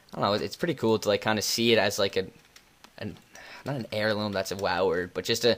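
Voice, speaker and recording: A man is talking. His delivery is very fast. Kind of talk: Q&A voiceover answering viewer questions. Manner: casual, halting with many fillers.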